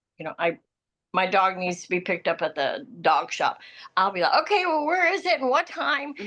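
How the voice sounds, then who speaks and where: Her tone bright and sharp, a woman with a medium pitch speaks at a moderate pace, making very wide pitch swings and taking long, frequent pauses. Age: 60s. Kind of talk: casual chat.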